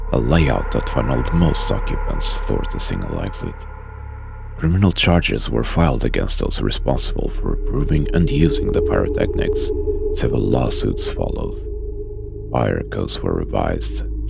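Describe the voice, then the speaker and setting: A man talks at a moderate pace against background music. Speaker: ASMR streamer and narrator.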